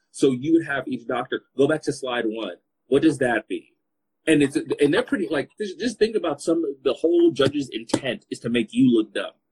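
Somewhat breathy and fairly high-pitched, a man with an American accent talks at a moderate pace with lively intonation, the sound dry and close with no echo. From Los Angeles, Congolese family. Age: 30s. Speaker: podcast host. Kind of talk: casual chat. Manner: animated.

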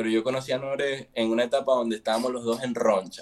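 A man talks at a very fast pace, his pitch sitting in the middle range. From Venezuela. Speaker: musician. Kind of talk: casual chat.

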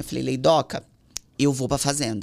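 In a very deep, low voice with vocal fry, a woman speaks with ordinary pitch variation. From São Paulo, Brazil. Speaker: singer's wife. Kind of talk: casual chat.

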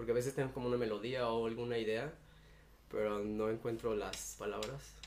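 A man talks at a fairly quick pace in a flat monotone, with long, frequent pauses and audible room echo. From Cuernavaca, Mexico. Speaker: indie musician. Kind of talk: casual interview.

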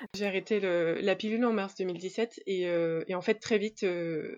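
A woman talks with a medium pitch. Her intonation stays fairly even. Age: 30s. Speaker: interview guest sharing infertility story. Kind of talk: testimony. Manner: hesitant, many fillers.

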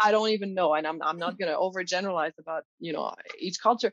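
A woman with a Quebec accent at a fairly quick pace. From Quebec, Canada. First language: French. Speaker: college professor, language teacher. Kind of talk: interview conversation.

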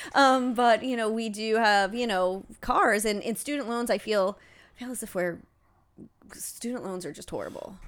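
With a normal speaking voice and an American accent, a woman talks at a moderate pace at a fairly high pitch, with ordinary pitch variation and big swings in loudness. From Ohio. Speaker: podcast co-host. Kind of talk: casual chat. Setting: home.

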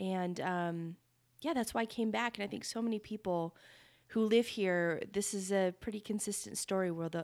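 A woman with an American accent has a normal speaking voice and ordinary pitch variation. The recording is very clean with a silent background. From Northern Nevada. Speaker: podcast co-host. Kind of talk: casual chat.

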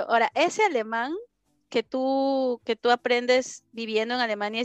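Heard in a dry, close sound with no echo, a woman with a Peruvian accent speaks at a fairly high pitch. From Peru, Lima. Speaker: study-abroad consultant. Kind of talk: interview.

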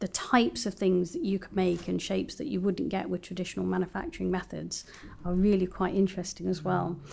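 A woman speaks with a London accent. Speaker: systems engineer. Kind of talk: interview. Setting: studio.

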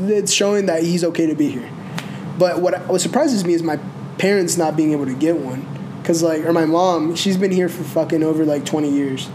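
Against noticeable background noise, a man talks at a fairly quick pace in a high pitch. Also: fairly even intonation. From North Carolina, Mexican-American family. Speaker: podcast guest. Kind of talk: casual chat.

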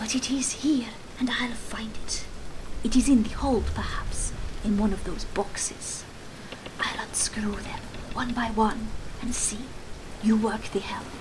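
A female-sounding voice whispers hoarsely in a put-on character voice at a moderate pace, with long, frequent pauses over loud background noise.

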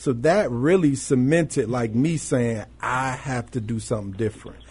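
Over noticeable background noise, a man speaks with an American accent at a moderate pace. His pitch is medium, with ordinary variation. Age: 40s. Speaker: reentry project manager. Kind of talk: radio interview. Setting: studio.

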